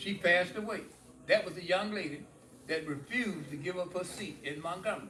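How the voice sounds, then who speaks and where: Against noticeable background noise, a man talks fairly quickly in a high pitch with ordinary pitch variation. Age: 80s+. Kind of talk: interview answer.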